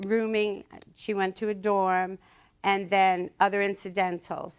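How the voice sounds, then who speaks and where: A woman speaks very slowly with a Brooklyn accent, her pitch medium and her intonation monotone and flat. The recording is very clean, with a silent background. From Brooklyn, New York. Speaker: mother in a dispute. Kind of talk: courtroom testimony.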